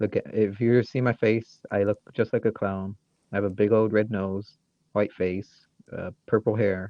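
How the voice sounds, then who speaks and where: A man with a Michigan accent speaks in a fairly low voice at a fairly slow pace, his intonation flat and monotone. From Michigan, US. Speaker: podcast co-host. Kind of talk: casual comedic chat.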